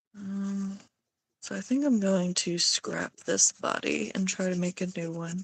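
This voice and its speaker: A woman speaks at a fairly slow pace and medium pitch, somewhat breathy. Her pitch variation is ordinary, and the sound is dry and close with no echo. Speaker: streamer drawing live. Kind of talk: casual live-stream chat while drawing. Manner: hesitant, many fillers and restarts.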